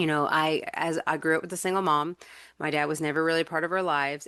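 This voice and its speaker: The intonation stays monotone and flat throughout. The background is quiet. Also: woman. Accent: American. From North Carolina. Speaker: podcast host, life coach. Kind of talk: personal testimony. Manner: casual, halting with repetitions.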